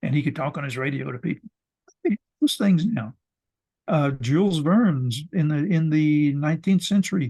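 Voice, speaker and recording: Speaking at a moderate pace with long, frequent pauses, a man with a fairly high pitch and a dark, mellow tone sounds somewhat breathy, with ordinary pitch variation. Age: 80s+. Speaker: ecologist and professor. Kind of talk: interview. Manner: halting, many repetitions.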